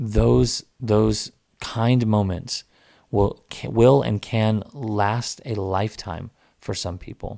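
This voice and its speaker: A dark, mellow tone in an American accent, with ordinary pitch variation at a very slow pace. The recording is very clean, with a silent background. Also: man, fairly low pitch for a man. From Texas, Dallas-Fort Worth area. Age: 30s. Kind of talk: personal storytelling monologue. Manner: halting, many repetitions and fillers.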